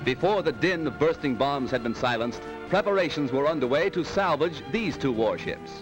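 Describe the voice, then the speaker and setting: With music in the background, a man talks at a fairly high pitch with lively intonation and very even loudness. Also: moderate pace. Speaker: newsreel commentator. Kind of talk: wartime newsreel narration. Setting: old 1940s film recording.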